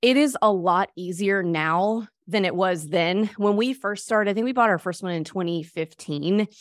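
A woman talks in a plain, everyday voice with an American accent, her pitch medium with ordinary variation. She keeps a moderate pace with hardly any pauses on a very clean recording with a silent background. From US South, Mississippi. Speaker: real estate investor. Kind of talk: interview.

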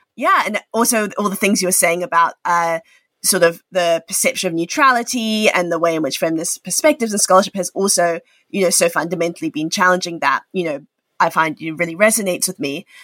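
The voice has a bright, sharp tone and ordinary pitch variation at a very fast pace. The recording is very clean, dry and close, with a silent background and no echo. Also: woman, medium pitch for a woman. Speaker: podcast host. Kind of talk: interview.

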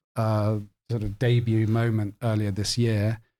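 A man's dark, mellow tone carries his words at a moderate pace. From Cork, Ireland. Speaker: literary editor. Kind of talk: casual chat.

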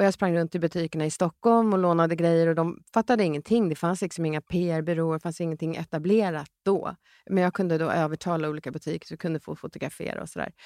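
Speaking at a very fast pace with hardly any pauses, a woman uses fairly low pitch and fairly even intonation. The recording is very clean, with a silent background and a dry, close sound with no echo. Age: 50s. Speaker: entrepreneur. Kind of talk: casual chat.

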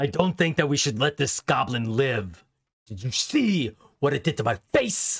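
Gruff and fairly high-pitched, a man is speaking. He keeps a moderate pace. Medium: actual play. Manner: boastful, gruff, angry.

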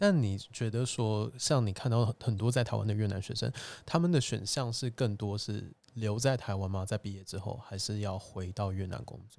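On a very clean recording with a silent background, a man with a fairly low pitch speaks at a moderate pace in an unremarkable speaking voice, with ordinary pitch variation and big swings in loudness. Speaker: podcast host. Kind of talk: interview-style casual chat. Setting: borrowed venue, indoor recording.

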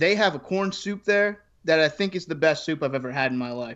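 Over a quiet background, an unremarkable speaking voice moves at a fairly quick pace with ordinary pitch variation. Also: man. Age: 20s. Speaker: blog writer and podcaster. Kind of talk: casual chat.

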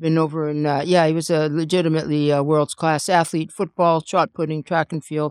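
A woman talks at a fairly quick pace with a very deep, low pitch. Her intonation is monotone and flat, and the sound is dry and close with no echo. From Canada, Calgary. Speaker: widow of a pro wrestler. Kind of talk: casual chat. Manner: halting.

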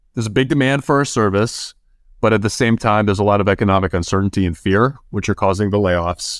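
The recording is very clean with a silent background. A man with an American accent and a fairly low pitch talks at a very fast pace. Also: ordinary pitch variation. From US Midwest, Chicago area. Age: 30s. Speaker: recruiting firm founder. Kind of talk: interview.

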